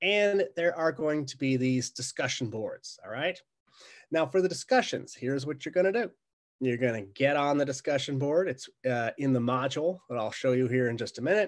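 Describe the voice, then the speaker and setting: An unremarkable speaking voice from a man, fairly high in pitch, with lively intonation, a moderate pace, and a quiet background. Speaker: college instructor. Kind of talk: recorded course introduction. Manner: casual, conversational.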